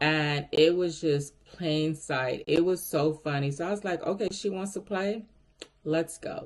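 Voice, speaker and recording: Against noticeable background noise, a woman with a fairly low voice speaks in an animated tone with ordinary pitch variation. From Miami, Florida. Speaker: recruiter vlogger. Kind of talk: casual storytelling vlog.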